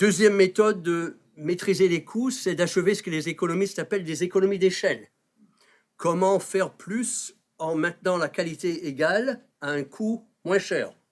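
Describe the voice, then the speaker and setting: A man speaks at a fairly slow pace in a high voice. The recording is very clean, with a silent background, and his pitch varies in an ordinary way. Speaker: health policy professor. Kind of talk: panel talk introducing a debate.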